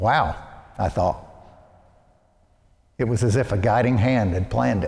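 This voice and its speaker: A man with an American accent, fairly low pitch, vocal fry, lively intonation and a moderate pace. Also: very even loudness. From US South, Arkansas (Little Rock). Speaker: priest. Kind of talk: sermon.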